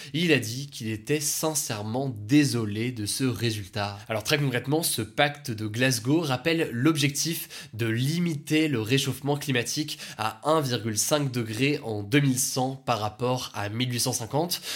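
Very slow speech with hardly any pauses and ordinary pitch variation. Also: man, medium pitch for a man. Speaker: daily news podcast host. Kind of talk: news summary.

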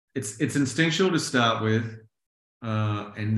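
A man speaks with a New Zealand accent. Audible room echo surrounds his voice. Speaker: songwriter and producer. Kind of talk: interview.

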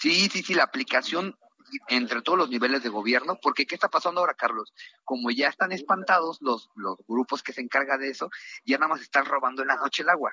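A man's bright, sharp voice, fairly high in pitch, with lively intonation at a very fast pace, dry and close with no echo. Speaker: politician. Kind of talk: radio interview.

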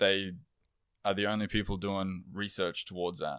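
Very clean recording with a silent background, a man with an Australian accent, fairly low in pitch, in monotone, flat intonation. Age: 20s. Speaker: electrician and amateur endurance runner. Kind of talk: casual interview chat. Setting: in person, recorded in Belfast.

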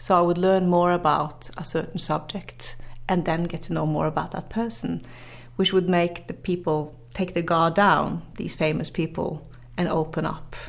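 With a Norwegian accent, a woman speaks at a fairly low pitch. Her intonation stays fairly even. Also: moderate pace. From northern Norway. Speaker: journalist and motivational speaker. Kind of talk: interview. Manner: halting, many fillers and repetitions.

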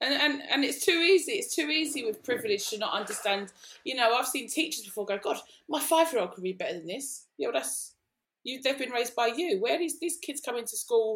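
A woman talks at a fairly quick pace, her high pitch swinging very widely. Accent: East London. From East London. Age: 40s. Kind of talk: casual chat.

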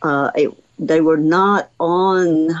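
Here a woman speaks with a Southern US accent. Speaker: retired museum director, naturalist. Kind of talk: call-in radio show.

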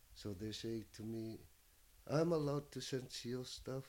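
The man's tone is dark and mellow. His pitch is medium with ordinary variation. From Nunavut, Canadian Arctic (Inuk). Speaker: hunter and artist. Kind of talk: casual chat.

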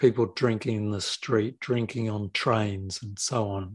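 Speaking at a moderate pace with an Australian accent, a man with a fairly low, somewhat breathy voice keeps a fairly even intonation, recorded dry and close with no echo against a quiet background. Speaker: documentary filmmaker and film school lecturer. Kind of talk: casual film discussion.

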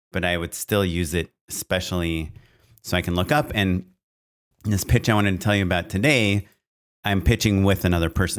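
A man speaks in a very deep, low pitch at a fairly quick pace, broken by long, frequent pauses. His pitch varies in an ordinary way on a very clean recording with a silent background. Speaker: film and commercial director, podcast co-host. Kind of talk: casual chat. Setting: studio microphone. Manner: loud and clear, close to the mic.

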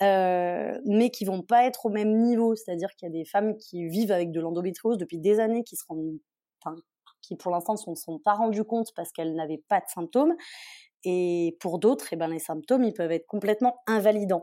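A woman speaks at a medium pitch with a dark, mellow tone and ordinary pitch variation. Her pace is fairly quick, and the recording is very clean with a silent background. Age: 20s. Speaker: beauty student with endometriosis, Instagram creator. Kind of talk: casual interview, personal testimony.

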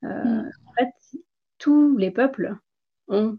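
A woman talks with ordinary variation in her pitch. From India. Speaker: former physician, author and wellness coach. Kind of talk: interview.

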